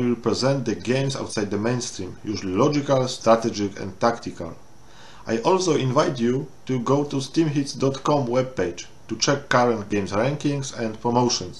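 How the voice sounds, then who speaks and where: A man in a Polish accent, medium-pitched and somewhat breathy, at a moderate pace with ordinary pitch variation and audible room echo. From Poland. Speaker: game reviewer. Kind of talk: game review walkthrough. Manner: halting non-native English.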